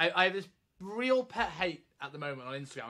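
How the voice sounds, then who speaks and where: A man's raised, projected voice has a bright, sharp tone and very wide pitch swings, moving at a fairly quick pace over a quiet background. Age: 30s. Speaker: fitness coach and educator. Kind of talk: casual interview chat. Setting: video call. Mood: mildly exasperated. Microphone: video call.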